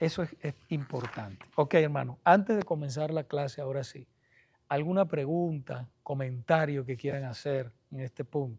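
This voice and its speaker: At a moderate pace, a man speaks somewhat breathily at a fairly high pitch with ordinary pitch variation against a quiet background. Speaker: pastor teaching a Bible study class. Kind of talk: Bible study lecture. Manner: soft-spoken.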